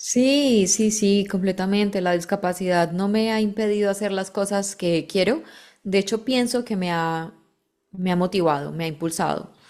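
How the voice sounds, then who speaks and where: In a very clean recording with a silent background, a voice with a Colombian accent moves at a moderate pace with ordinary pitch variation. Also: woman, medium pitch for a woman. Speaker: model, activist and voice-over narrator. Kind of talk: interview answer.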